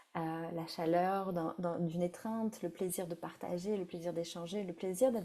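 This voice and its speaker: A woman speaks at a moderate pace in a dark, mellow tone with fairly even intonation. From France. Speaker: breathwork facilitator. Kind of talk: guided breathwork session. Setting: live stream. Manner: halting.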